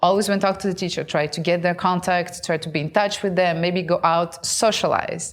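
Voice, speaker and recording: A woman with a Russian accent talks at a fairly quick pace. Her pitch is medium. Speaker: content creator and show host. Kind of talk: casual talk to camera.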